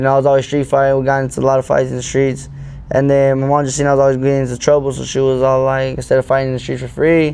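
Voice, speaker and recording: The speech is very fast, with an American accent. The intonation is monotone and flat, with noticeable background noise. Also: man, medium pitch for a man. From Arizona. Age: 20s. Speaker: boxer. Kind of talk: casual chat.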